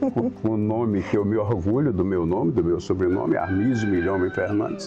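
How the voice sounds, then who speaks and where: A man's fairly low voice at a moderate pace, with fairly even intonation, very even loudness, audible room echo and noticeable background noise. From Araguatins, northern Tocantins, Brazil. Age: 70s. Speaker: local elder interviewee. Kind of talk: interview, oral history recollection.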